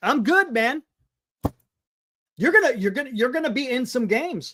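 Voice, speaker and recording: With a raised, projected voice and a bright, sharp tone, a man speaks at an extremely high pitch with very wide pitch swings, a moderate pace, and long, frequent pauses. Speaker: sports talk show host. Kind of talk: live stream sports talk. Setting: live stream. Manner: loud; animated. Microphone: audio distorting from yelling, mic moved away.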